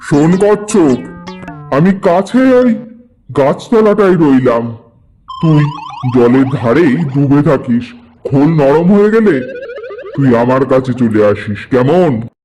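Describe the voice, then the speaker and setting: In a cartoonish character voice, a man talks at a fairly slow pace with a fairly high pitch. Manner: gruff, talks down to others.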